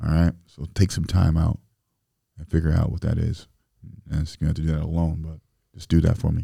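Speaking in a very deep, low pitch with an American accent, the man has a dark, mellow, somewhat breathy tone and fairly even intonation, moving at a fairly quick pace between long, frequent pauses. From Springfield, Illinois. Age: 30s. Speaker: rapper and entrepreneur. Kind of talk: casual chat.

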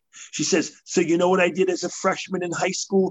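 In a New York accent, a man talks in an animated tone at a high pitch. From New York City. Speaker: motivational speaker. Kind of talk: interview.

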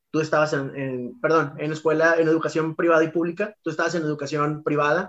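A man's fairly high voice in a flat monotone, at a very fast pace with hardly any pauses. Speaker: podcast co-host, teacher. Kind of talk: casual chat.

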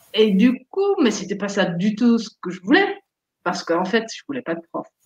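At a fairly slow pace, a woman with a Dutch accent talks at a medium pitch. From Netherlands. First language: Dutch (speaking French). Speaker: therapist and life coach. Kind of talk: casual interview.

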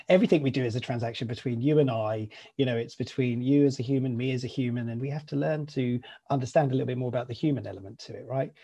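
Talking at a very fast pace, a man uses a somewhat breathy, dark, mellow voice of medium pitch with ordinary pitch variation. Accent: British. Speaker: podcast host. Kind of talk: casual interview chat.

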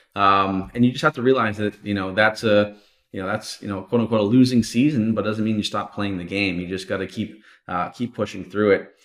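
A man's plain, everyday voice, fairly low in pitch, with fairly even intonation and a fairly quick pace, on a very clean recording with a silent background. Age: 30s. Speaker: online course entrepreneur. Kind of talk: interview.

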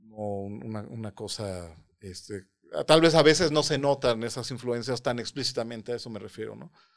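This man speaks at a medium pitch and moderate pace, with ordinary pitch variation and big swings in loudness. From Mexico City. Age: 30s. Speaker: composer and mathematician. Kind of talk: interview. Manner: halting.

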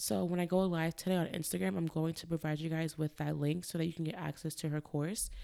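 A woman's very deep, low-pitched voice with a dark, mellow tone, very fast and with hardly any pauses, with ordinary pitch variation. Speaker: dietitian and podcast host. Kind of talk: solo podcast monologue. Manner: casual, conversational.

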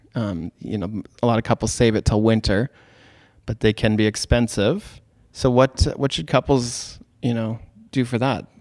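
A man with a Canadian accent and an unremarkable speaking voice, medium in pitch, at a moderate pace with fairly even intonation, in dry, close sound with no echo. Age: 30s. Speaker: podcast host and wedding photographer. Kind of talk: casual interview.

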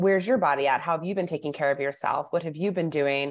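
A woman speaks with an American accent and fairly even intonation. The background is quiet. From US Midwest, Chicago area. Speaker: naturopathic doctor. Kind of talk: interview.

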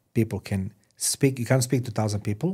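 Somewhat breathy and dark, mellow in tone, a man speaks at a moderate pace with a non-native accent. The recording is very clean, with a silent background. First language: not English. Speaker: podcast host. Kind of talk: interview. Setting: studio.

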